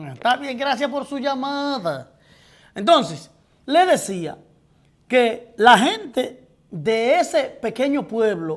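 Over a quiet background, a man speaks with a Dominican accent. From Dominican Republic. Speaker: TV talk show host. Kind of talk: live political commentary with call-ins. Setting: TV studio, live broadcast. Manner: animated, profane and outspoken. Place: studio.

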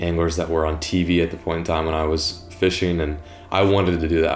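A man talks at a fairly quick pace in a very deep, low pitch. His intonation is monotone and flat, with faint music in the background. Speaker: fishing video creator. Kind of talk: interview answer. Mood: calm, reflective. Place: home room.

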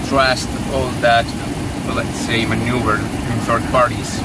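Over loud background noise, a man talks at a fairly slow pace in a dry sound with no echo. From Spain. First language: Spanish. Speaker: airline pilot. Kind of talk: interview. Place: plane. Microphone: camera far.

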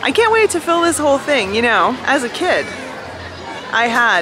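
Over clear background music, a woman projects her raised voice in a dry recording with no echo. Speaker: vlogger. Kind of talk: casual vlog chat. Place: street. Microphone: phone near.

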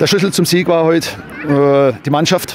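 Talking at a fairly quick pace, a man keeps a fairly even intonation, with noticeable background noise and a dry sound that has no echo. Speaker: football club coach. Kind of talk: interview answer. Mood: proud, relieved after win. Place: stadium. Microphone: handheld.

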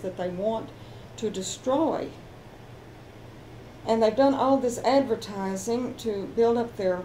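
A woman with a Texan accent talks at a fairly slow pace and a fairly high pitch, leaving long, frequent pauses. Her tone is dark, mellow and somewhat breathy, with ordinary pitch variation over light background noise. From Texas. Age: 70s. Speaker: homeowner. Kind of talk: interview answer. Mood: indignant, upset. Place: home room.

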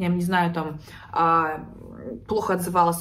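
The pace is moderate as a woman talks. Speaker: psychologist blogger. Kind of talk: casual vlog chat. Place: home room. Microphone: phone near.

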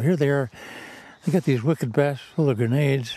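A man speaks at a fairly quick pace in a dry sound with no echo. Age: 80s+. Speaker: war veteran. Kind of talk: interview answer. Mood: reflective, emotional recollection. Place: open country.

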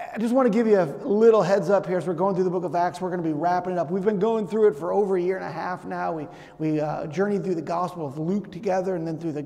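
A man with a high pitch, ordinary pitch variation and a very fast pace. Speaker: pastor. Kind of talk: sermon. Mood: warm, grateful. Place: church.

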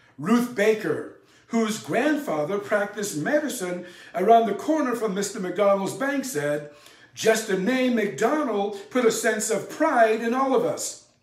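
Against a quiet background, a man talks at a fairly slow pace with a high pitch. The room echo is audible. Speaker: presenter. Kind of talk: history narration to camera. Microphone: lapel.

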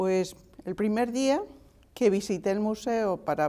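A dark, mellow tone moves at a very slow pace with ordinary pitch variation. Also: woman. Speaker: art restorer. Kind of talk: interview answer. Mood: warm, reflective. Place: studio.

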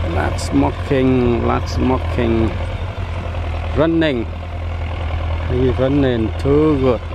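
The speech moves at a very slow pace with long, frequent pauses. The sound is dry with no echo, and background noise is noticeable. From Vietnam, Tay Ninh province. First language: Vietnamese. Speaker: vlogger. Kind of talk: vlog commentary while filming. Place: open country. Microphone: phone near.

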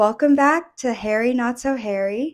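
A woman speaks in a high voice with lively intonation at a moderate pace. The background is quiet. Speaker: video creator with alopecia. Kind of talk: casual interview. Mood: warm, smiling. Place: home room. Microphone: handheld.

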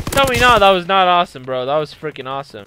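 Noticeable background noise runs under this recording. A man uses a raised, projected voice with very wide pitch swings. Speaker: gaming youtuber. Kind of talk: gameplay commentary. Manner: animated; loud.

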